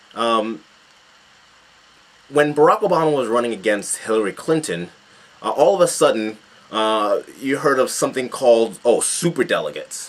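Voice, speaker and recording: Medium-pitched man with an American accent, lively intonation, a moderate pace and long, frequent pauses. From United States. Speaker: political commentator. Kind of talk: video commentary. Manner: halting, many fillers.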